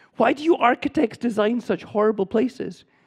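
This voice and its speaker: A high-pitched man's voice in a Scottish accent, at a moderate pace. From Scotland. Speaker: urban planner and professor. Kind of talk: lecture.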